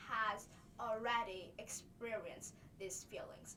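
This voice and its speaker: A woman speaks at a moderate pace in a bright, sharp tone, with audible room echo. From Vietnam. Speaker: student presenter. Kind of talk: class presentation. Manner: halting.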